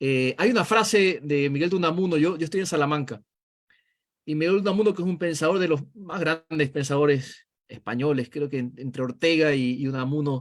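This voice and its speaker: A man's unremarkable speaking voice at a fairly high pitch, moderate in pace, with ordinary pitch variation. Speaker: political analyst. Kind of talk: video call interview.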